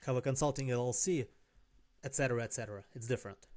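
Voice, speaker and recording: This man talks fairly quickly with a non-native accent. His medium-pitched voice has a dark, mellow tone and is somewhat breathy. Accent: noticeable foreign. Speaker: life and business coach. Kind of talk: casual talking-head advice video. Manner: conversational, some self-corrections.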